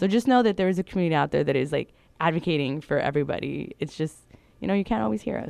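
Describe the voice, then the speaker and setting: A woman with an American accent, very deep and low in pitch with vocal fry, very wide pitch swings and a very fast pace. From California Central Valley. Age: 30s. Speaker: LGBTQ+ educator and activist. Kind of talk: interview. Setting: studio.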